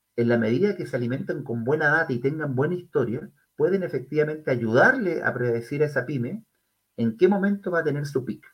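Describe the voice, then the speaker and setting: Fairly quick, somewhat breathy man's voice with a Chilean accent and fairly high pitch. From Chile, Concepción. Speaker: tech company executive. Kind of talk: interview.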